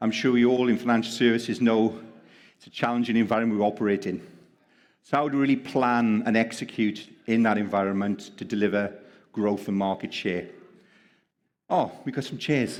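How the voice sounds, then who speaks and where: A man with a Welsh accent speaks at a fairly quick pace, leaving long, frequent pauses. His intonation stays fairly even while his loudness swings widely. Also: medium pitch for a man. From Wales. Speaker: panel moderator. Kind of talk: panel discussion.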